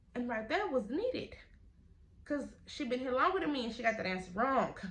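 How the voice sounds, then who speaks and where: A loud woman talks fairly quickly at a high pitch, with very wide pitch swings. Room echo is audible. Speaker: YouTuber telling a story time. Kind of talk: storytime vlog.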